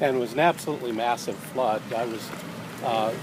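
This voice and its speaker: Against noticeable background noise, a man talks at a fairly quick pace with a medium pitch. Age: 60s. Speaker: social entrepreneur and author. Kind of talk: casual interview on a walk. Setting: outdoors walk, filmed on iPad. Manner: hesitant, many fillers.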